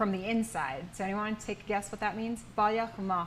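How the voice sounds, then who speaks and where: A woman with an ordinary speaking voice, fairly high in pitch, with an American accent and ordinary pitch variation. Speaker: language teacher. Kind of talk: language workshop. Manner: patient, encouraging.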